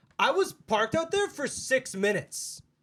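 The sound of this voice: A man's put-on character voice, extremely high in pitch, with a fairly bright tone, big pitch swings, and a fairly slow pace. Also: very clean recording, silent background.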